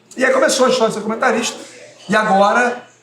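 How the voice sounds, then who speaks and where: Audible room echo and noticeable background noise accompany a man's speech. He talks very fast, with ordinary pitch variation. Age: 40s. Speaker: radio sports commentator. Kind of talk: interview. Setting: bar.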